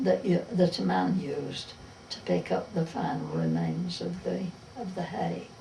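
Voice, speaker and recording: Speech comes at a fairly slow pace with a Derbyshire accent. There is noticeable background noise. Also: woman. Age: old. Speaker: retired farm worker. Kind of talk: oral history interview.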